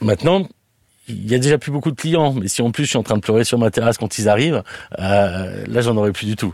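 Ordinary pitch variation marks the fairly quick speech of a man. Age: 40s. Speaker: restaurant owner. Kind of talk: interview testimony. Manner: hesitant, many fillers.

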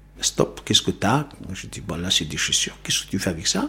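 A man's very deep, low voice at a moderate pace. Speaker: former immigrant worker, witness. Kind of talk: testimony. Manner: halting.

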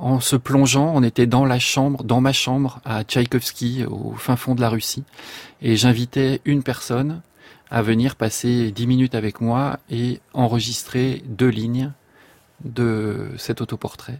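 Very slowly, a man speaks at a medium pitch with fairly even intonation, the sound dry and close with no echo. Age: young. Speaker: composer. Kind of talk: radio interview.

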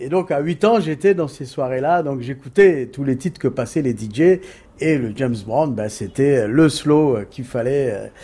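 A man with a dark, mellow tone and a medium pitch talks at a fairly slow pace, his intonation lively and his loudness swinging widely. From Cape Verde, Dakar and Paris suburbs. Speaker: record label founder. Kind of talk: casual interview. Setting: outdoors.

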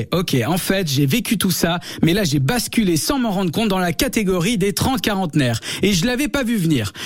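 Over noticeable background noise, a man with a high pitch talks at a moderate pace with lively intonation and very even loudness. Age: 30s. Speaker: radio humor columnist. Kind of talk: scripted comic radio segment. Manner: animated.

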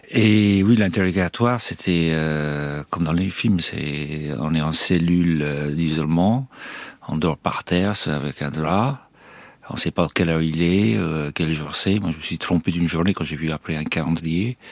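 There is noticeable background noise as a man speaks at a fairly slow pace. His pitch is very deep and low, with ordinary variation. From Ireland. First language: English (speaking French). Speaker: former hostage. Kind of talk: interview testimony. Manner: halting.

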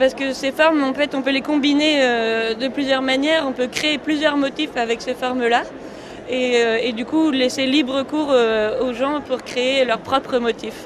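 Noticeable background noise sits behind a woman's high-pitched voice. She speaks at a fairly slow pace in a monotone, flat intonation. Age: young. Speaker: designer and inventor. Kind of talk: radio interview.

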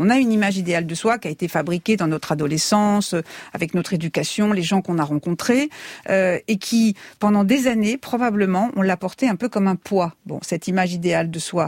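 In a plain, everyday voice, a woman talks at a fairly quick pace and medium pitch with ordinary pitch variation, recorded very cleanly with a silent background and a dry, close sound with no echo. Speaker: beauty consultant and author. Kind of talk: radio panel discussion.

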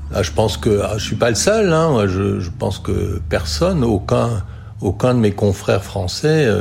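A man with a fairly low pitch and very wide pitch swings talks at a fairly slow pace, with audible room echo and noticeable background noise. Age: 60s. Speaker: retired doctor in a care home. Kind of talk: testimony. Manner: halting, many repetitions and fillers.

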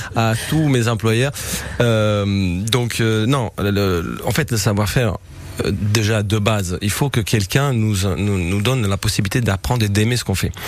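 Over noticeable background noise, a man talks at a fairly slow pace with a fairly low pitch. His loudness is very even and his pitch variation is ordinary. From southern Italy, Apulia. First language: Italian (speaking French). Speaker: chef. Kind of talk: radio interview. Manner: halting, many repetitions.

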